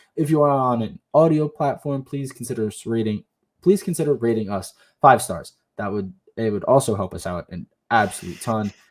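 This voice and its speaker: A man talks with lively intonation, his pitch in the middle range. The background is silent on this very clean recording. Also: dry, close sound with no echo. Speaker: sports podcast co-host. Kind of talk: casual chat. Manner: halting.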